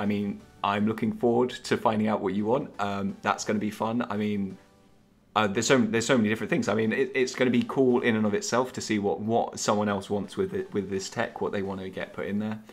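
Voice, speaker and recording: Over music in the background, a man with an English accent and fairly low pitch speaks at a very fast pace with fairly even intonation. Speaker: app developer. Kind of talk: project update vlog. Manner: halting, many fillers.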